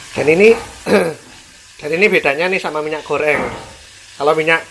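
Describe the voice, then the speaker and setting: A man's fairly high-pitched voice with ordinary pitch variation, over noticeable background noise. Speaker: cooking vlogger. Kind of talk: cooking tutorial. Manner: casual, chatty.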